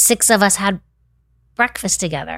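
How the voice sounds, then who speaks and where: A woman with an American accent speaks at a fairly quick pace in an ordinary speaking voice of medium pitch, recorded very cleanly against a silent background. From Winter Park, Florida (US South). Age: 50s. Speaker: non-profit founder, former wealth planner. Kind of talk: casual interview.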